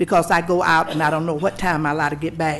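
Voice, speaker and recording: A woman with a Southern US accent speaks at a very fast pace in a very deep, low pitch. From US South. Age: 70s. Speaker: local resident. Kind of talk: public comment. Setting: public meeting.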